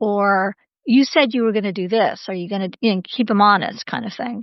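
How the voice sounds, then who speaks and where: An ordinary speaking voice with an American accent. Its pitch varies in an ordinary way. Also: woman. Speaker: scholar and business advisor. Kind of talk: interview conversation.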